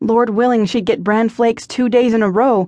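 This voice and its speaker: A woman with an unremarkable speaking voice talks at a moderate pace and a fairly high pitch. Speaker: audiobook narrator. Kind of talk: scripted audiobook narration of a romance novel, with character voices.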